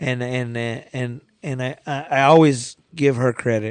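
This man has an unremarkable speaking voice. His pitch is medium and his intonation fairly even. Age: 30s. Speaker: community organizer, business owner. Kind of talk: casual chat. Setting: studio.

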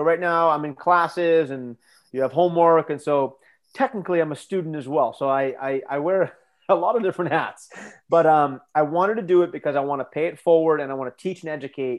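At a fairly quick pace, this speaker uses a plain, everyday voice with an American accent and ordinary pitch variation. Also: man, fairly high pitch for a man. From United States. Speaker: strength coach and professor. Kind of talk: interview.

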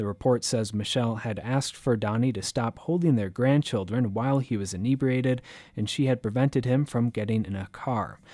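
A man with an ordinary speaking voice, medium pitch and ordinary pitch variation, at a fairly quick pace, on a very clean recording with a silent background. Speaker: radio news anchor. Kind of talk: formal newsreading, scripted local radio bulletin. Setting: studio. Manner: formal, measured, even-toned; crisp and businesslike, steady pace.

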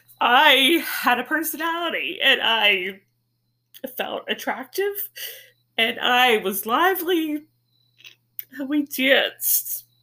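A woman's high, bright, sharp voice, raised and projected, with very wide pitch swings, a very slow pace and long, frequent pauses. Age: 50s. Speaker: podcast host. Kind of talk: personal monologue.

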